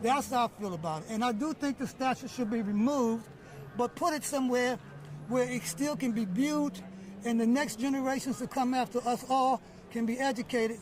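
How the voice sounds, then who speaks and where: At a moderate pace, a man speaks with an extremely high pitch and ordinary pitch variation. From Washington, DC. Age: 60s. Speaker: rally attendee interviewed by reporter. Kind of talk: street interview. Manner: halting, with self-corrections.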